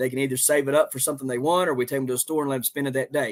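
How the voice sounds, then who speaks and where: In a Southern accent, a man speaks with fairly even intonation at a fairly high pitch. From West Virginia. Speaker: homesteader and gardener. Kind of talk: live stream chat. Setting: live stream. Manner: casual, halting with fillers.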